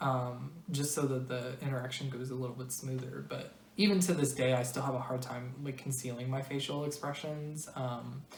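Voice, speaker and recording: A woman with an American accent and a very deep, low pitch speaks at a moderate pace with fairly even intonation and hardly any pauses, amid audible room echo and noticeable background noise. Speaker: video blogger. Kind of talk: personal explainer monologue. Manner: flat intonation, serious and direct; hesitant, many fillers.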